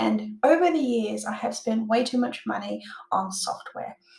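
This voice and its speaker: A woman with an Australian accent at a moderate pace, with audible room echo. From Australia, Perth. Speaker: online business owner and software tutor; online course creator. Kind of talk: tutorial. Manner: casual with filler words. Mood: enthusiastic, friendly. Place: home room.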